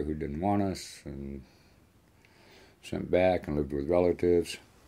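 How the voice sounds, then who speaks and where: A man with an American accent, a dark, mellow tone, fairly even intonation and a moderate pace. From Michigan, US. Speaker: immigrant interviewee. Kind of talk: documentary interview.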